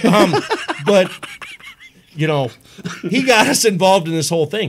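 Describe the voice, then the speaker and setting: Speaking with lively intonation and a high pitch, a man talks at a moderate pace over noticeable background noise. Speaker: wrestling ring announcer. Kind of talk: podcast interview answer. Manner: enthusiastic.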